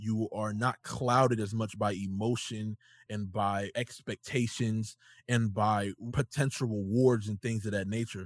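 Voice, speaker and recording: A man with an ordinary speaking voice at medium pitch, fairly even intonation and a fairly slow pace, in a quiet background with a dry, close sound and no echo. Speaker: podcast host. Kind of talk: casual chat.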